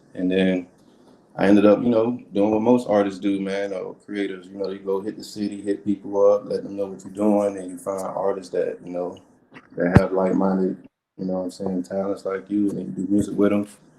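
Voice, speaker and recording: Over noticeable background noise, a man with an American accent speaks at a fairly quick pace in a flat monotone with a fairly low pitch. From Miami, Florida. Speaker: music producer and army veteran. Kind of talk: casual interview chat. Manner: relaxed, conversational with fillers.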